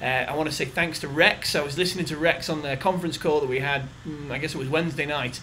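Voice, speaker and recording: Very fast speech from a man at a fairly high pitch, amid noticeable background noise and audible room echo. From England. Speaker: company general manager. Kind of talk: recorded video message. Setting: corporate office. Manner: enthusiastic.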